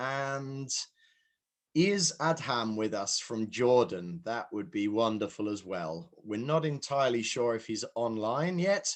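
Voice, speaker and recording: Against a quiet background, a man with a British accent speaks fairly slowly at a medium pitch with lively intonation. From UK. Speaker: session moderator. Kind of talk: online conference moderation.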